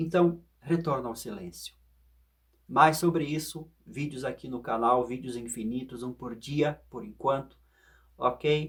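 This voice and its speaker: Somewhat breathy, a man speaks at a very slow pace with medium pitch, ordinary pitch variation and big swings in loudness. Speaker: philosophy and meditation video host. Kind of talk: reflective monologue.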